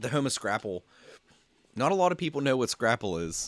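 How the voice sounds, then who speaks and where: The recording sounds dry and close, with no echo. A man with an American accent speaks at a moderate pace and medium pitch. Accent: local Pennsylvania accent, noticed by others. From Pennsylvania. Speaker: 3D printing live streamer. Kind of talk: casual live stream chat. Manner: halting, many fillers and repeats.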